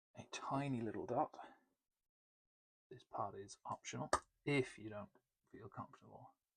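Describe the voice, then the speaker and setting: In a British accent, a soft-spoken voice whispers at a moderate pace with vocal fry, big swings in loudness and long, frequent pauses, the sound dry and close with no echo. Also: man. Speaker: miniature painting tutor. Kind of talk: tutorial. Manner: whispering, soft-spoken.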